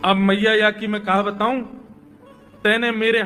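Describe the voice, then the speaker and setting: High male voice against noticeable background noise. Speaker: kathavachak (religious storyteller). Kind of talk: devotional story narration.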